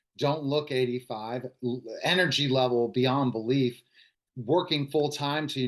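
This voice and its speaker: A man with a plain, everyday voice speaks at a medium pitch and a moderate pace, with ordinary pitch variation, against a quiet background. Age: 40s. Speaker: podcast interviewer. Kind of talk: casual chat.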